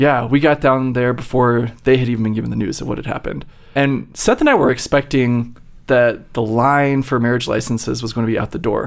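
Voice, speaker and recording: In an unremarkable speaking voice with an American accent, the speaker goes at a fairly quick pace with fairly even intonation. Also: man, medium pitch for a man. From Virginia. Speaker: neuroscience researcher. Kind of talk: interview. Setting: studio.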